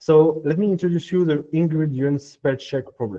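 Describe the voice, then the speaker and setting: Speaking at a moderate pace in a French accent, a man with a fairly high pitch and a dark, mellow tone uses ordinary pitch variation. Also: dry, close sound with no echo. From France. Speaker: machine learning engineer. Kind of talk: technical workshop talk. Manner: hesitant, many filler sounds.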